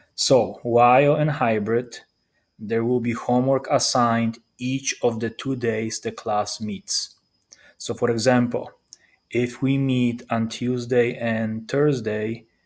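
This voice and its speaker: Very slow, monotone and flat speech with a non-native accent. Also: man, medium pitch for a man. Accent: foreign. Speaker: high school math teacher. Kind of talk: recorded presentation to parents.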